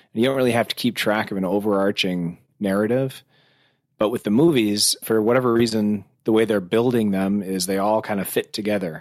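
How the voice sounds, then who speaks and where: In a very clean recording with a silent background, a man with an unremarkable speaking voice and an American accent talks fairly quickly at a medium pitch with fairly even intonation. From US, rural farm town. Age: 40s. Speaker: film website co-creator. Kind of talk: casual chat.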